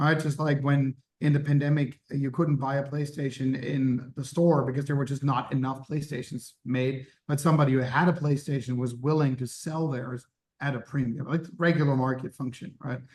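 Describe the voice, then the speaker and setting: A man speaks in a flat monotone, his voice fairly high-pitched and somewhat breathy. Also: moderate pace. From Germany. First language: German. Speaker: startup founder. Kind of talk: interview.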